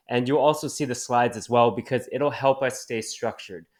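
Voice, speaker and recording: A normal speaking voice with a Canadian accent and fairly even intonation, on a very clean recording with a silent background. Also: man. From Canada. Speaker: cannabis community manager. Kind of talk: video presentation.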